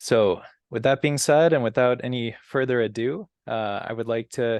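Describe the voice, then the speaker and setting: With an ordinary speaking voice, a man talks at a moderate pace in a medium pitch with fairly even intonation, the sound dry and close with no echo against a quiet background. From US, immigrant family from Brazil. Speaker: community organization president, moderator. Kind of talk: moderated interview.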